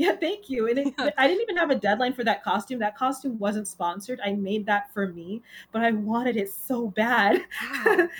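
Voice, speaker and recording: At a moderate pace, a woman with an American accent speaks in a plain, everyday voice, fairly high in pitch, with lively intonation. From New York City, Queens. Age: 20s. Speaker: cosplayer and costume maker. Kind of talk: casual interview chat.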